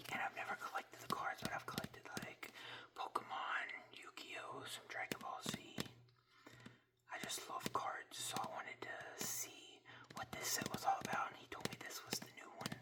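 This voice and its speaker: Against noticeable background noise, a man whispers at a moderate pace. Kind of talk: ASMR card unboxing, whispered reading of card text. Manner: soft, whispering.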